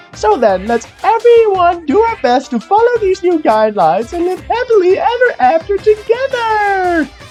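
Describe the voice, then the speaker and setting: Putting on a character voice, a man speaks at an extremely high pitch and a moderate pace, with clear music in the background. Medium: dub.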